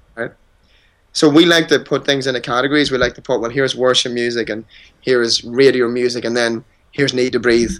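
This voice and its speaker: With an ordinary speaking voice, a man talks at a medium pitch and a fairly quick pace. His intonation is fairly even. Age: 30s. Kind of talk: interview.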